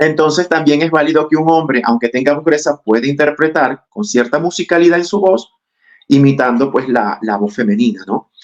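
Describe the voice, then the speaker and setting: His delivery comes at a moderate pace. The man's intonation rises and falls in a lively way. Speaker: actor and acting teacher. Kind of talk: podcast interview.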